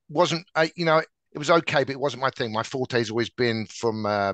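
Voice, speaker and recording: A man with an English accent talks at a very fast pace in a medium pitch with ordinary pitch variation, the sound dry with no echo over a quiet background. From England. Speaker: tech sales director. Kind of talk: interview. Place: office. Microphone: headset.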